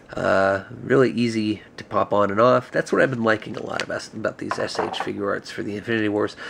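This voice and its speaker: A man talks at a fairly quick pace with a fairly low pitch and hardly any pauses. His intonation is fairly even, with noticeable background noise. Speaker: action figure reviewer. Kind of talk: product review. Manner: casual, many filler words.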